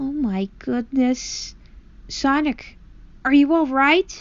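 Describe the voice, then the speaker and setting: Woman in a put-on character voice, high-pitched and nasal, at a very slow pace. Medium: read story. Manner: worried.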